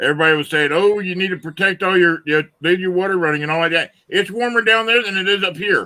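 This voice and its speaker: A man with a Southern accent in a raised, projected voice, high-pitched, with ordinary pitch variation, at a very fast pace with hardly any pauses. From Florida. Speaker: live streamer. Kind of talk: casual chat.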